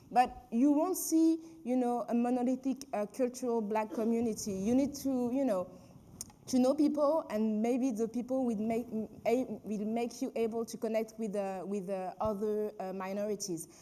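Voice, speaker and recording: Moderately paced speech from a woman, fairly high in pitch, dark and mellow in tone, with ordinary pitch variation. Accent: French. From France, Paris. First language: French. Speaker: filmmaker and activist. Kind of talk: panel discussion. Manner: halting.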